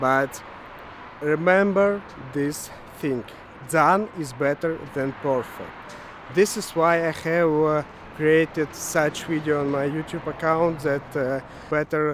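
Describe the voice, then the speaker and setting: Against noticeable background noise, a man with a fairly high pitch speaks at a very slow pace, with fairly even intonation and long, frequent pauses. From Ukraine. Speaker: web developer vlogger. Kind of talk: casual vlog monologue. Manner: halting, many fillers.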